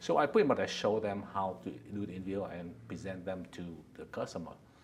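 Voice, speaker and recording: In a Vietnamese accent, a man with a very deep, low voice and vocal fry talks at a fairly quick pace with lively intonation. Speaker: company founder and executive. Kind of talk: interview. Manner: halting.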